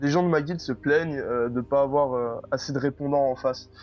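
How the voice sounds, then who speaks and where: A man talks at a fairly quick pace with fairly even intonation. His is an unremarkable speaking voice. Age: 20s. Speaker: gamer and streamer. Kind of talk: interview.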